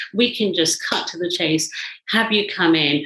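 In a British accent, a woman speaks with a fairly low pitch and ordinary pitch variation. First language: Indian language. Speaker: psychologist and mentor. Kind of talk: interview conversation.

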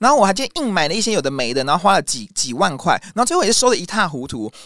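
A man's high, very fast voice with very wide pitch swings, dry and close with no echo, on a very clean recording with a silent background. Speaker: YouTube music show host. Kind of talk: interview conversation. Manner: fast-paced.

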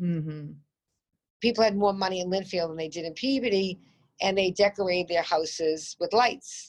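A woman with a Boston accent speaks at medium pitch. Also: ordinary pitch variation, moderate pace, big swings in loudness. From Boston area, Massachusetts. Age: 50s. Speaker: home builder. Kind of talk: interview. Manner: animated.

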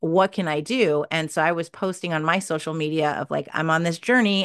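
A woman's fairly low-pitched voice, an ordinary speaking voice, with fairly even intonation over a quiet background. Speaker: podcast PR agency founder and author. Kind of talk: casual interview chat.

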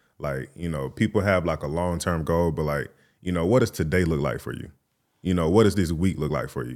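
A man's very deep, low voice with vocal fry and ordinary pitch variation, on a very clean recording with a silent background. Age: 20s. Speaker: film director and production studio owner. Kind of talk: casual chat.

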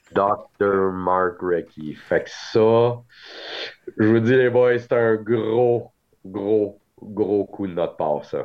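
Speaking very slowly with long, frequent pauses, a man with a fairly low voice keeps his intonation fairly even. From Quebec, Montreal. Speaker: trading card show organizer. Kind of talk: casual chat.

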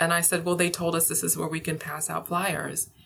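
With a bright, sharp tone, a woman speaks at a fairly low pitch in a monotone, flat delivery. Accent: American. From California. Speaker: psychologist. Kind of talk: interview. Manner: halting, frequent fillers.

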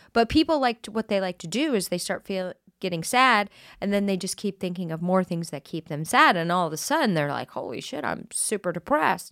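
Dry and close with no echo, a woman's medium-pitched voice with an American accent moves at a fairly quick pace through very wide pitch swings on a very clean recording with a silent background. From Colorado. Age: 40s. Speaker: comedian and author. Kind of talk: casual chat.

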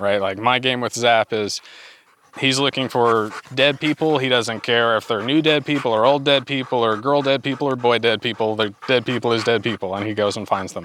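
An unremarkable speaking voice from a man, medium in pitch, fairly quick in pace, with fairly even intonation. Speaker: dog handler. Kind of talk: casual interview.

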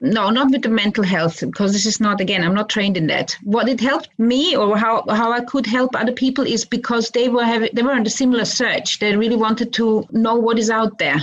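Loudness stays very even and pauses are hardly present, though background noise is noticeable. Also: woman, fairly high pitch for a woman, ordinary pitch variation, fairly quick pace. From Austria. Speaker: meditation teacher and online marketer. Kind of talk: interview.

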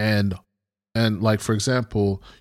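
An unremarkable speaking voice talks at a fairly slow pace with an American accent. The recording is very clean, with a silent background. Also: man. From US Northeast (Brooklyn, New York). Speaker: podcast co-host. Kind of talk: casual chat.

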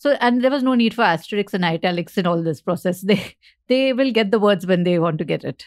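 On a very clean recording with a silent background, a woman with an Indian accent speaks at a very fast pace and medium pitch, her intonation lively. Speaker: podcast host and author. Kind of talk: casual interview.

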